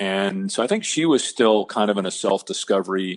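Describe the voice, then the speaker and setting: Over a quiet background, a man uses an ordinary speaking voice at a fairly low pitch, a moderate pace and fairly even intonation. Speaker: sports broadcaster and podcast guest. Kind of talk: interview answer, telling a personal story.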